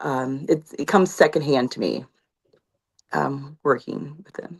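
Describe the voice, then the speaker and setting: A woman's very deep, low voice with vocal fry, ordinary pitch variation, big swings in loudness and a fairly slow pace. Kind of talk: live show interview. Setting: live online show. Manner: hesitant, many fillers.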